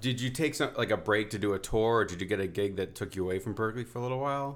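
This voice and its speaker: This man talks at a very fast pace. His intonation is lively. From New Haven, Connecticut, US. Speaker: podcast host. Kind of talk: interview. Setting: at the guest's home.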